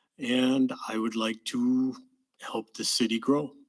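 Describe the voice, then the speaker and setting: Using fairly even intonation, a man with an Upper Midwest accent speaks at a very slow pace. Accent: Upper Midwest American. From Wisconsin, Two Rivers area. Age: 60s. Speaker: city council candidate, retired truck driver. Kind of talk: candidate forum statement.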